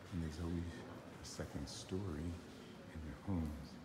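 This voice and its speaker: A man's fairly slow speech, with ordinary variation in pitch, carries over noticeable background noise. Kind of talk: casual travel narration. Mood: admiring, calm. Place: church. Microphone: phone near.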